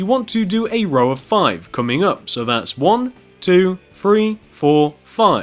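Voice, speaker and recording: A man's high voice swings very widely in pitch. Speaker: Minecraft tutorial youtuber. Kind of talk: tutorial. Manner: stuttering, stumbling over words.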